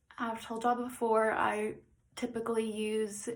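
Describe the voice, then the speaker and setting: A woman at a medium pitch and a fairly slow pace. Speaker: makeup tutorial vlogger. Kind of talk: tutorial. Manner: casual, filler-heavy.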